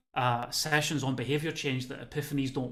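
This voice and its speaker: A man talks at a fairly quick pace with a medium pitch and monotone, flat intonation. Audible room echo surrounds his voice. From Scotland, Motherwell (West of Scotland). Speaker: well-being consultant and lecturer. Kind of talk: webinar talk. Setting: video call from home.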